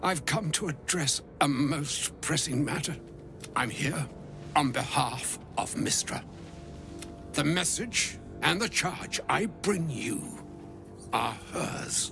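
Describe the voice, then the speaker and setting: Amid loud background noise, a man puts on a character voice with a fairly high pitch, talking at a fairly slow pace with long, frequent pauses. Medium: video game. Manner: formal, archaic, grave.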